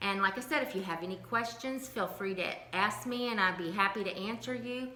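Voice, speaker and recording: Against noticeable background noise and audible room echo, a woman speaks at a moderate pace with lively intonation. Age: 60s. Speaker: lifestyle vlogger sharing health journey. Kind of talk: casual vlog monologue.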